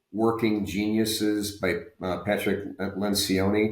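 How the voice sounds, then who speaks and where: A man's monotone, flat delivery at a very slow pace. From US South. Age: 60s. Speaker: retired medical device executive. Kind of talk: podcast interview. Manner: halting, many fillers and repeats.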